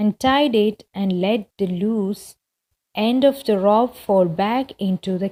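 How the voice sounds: This is a natural reading voice with ordinary pitch variation. The background is quiet.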